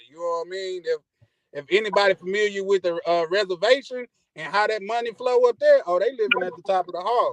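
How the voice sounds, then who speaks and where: A man in a Mississippi accent talks very fast at a high pitch, with ordinary pitch variation and big swings in loudness. The sound is dry and close, with no echo. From US, Army brat, Mississippi. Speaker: caller to a travel podcast. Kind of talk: casual chat. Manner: hesitant, many fillers.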